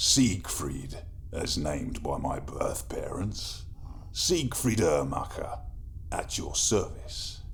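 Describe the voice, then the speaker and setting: In a wheezy, put-on character voice, a man speaks at a very slow pace over clear background noise. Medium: audio drama. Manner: wry, ironic.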